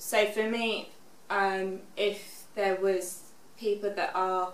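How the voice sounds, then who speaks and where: A woman with a British accent, medium in pitch, flat and monotone in intonation. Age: 20s. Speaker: stroke survivor with aphasia. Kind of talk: interview answer. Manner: halting, hesitant with frequent fillers.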